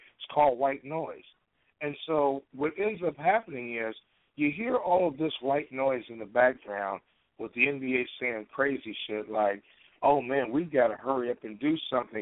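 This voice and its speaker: At a moderate pace, a man speaks in a medium-pitched voice with lively intonation. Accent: American. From Chicago, US Midwest. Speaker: internet radio host. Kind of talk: call-in talk show, casual sports chat. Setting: phone call-in show. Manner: halting with repeated fillers.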